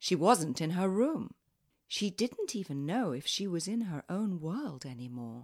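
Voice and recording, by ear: The reading is done aloud in a natural voice, with the background quiet.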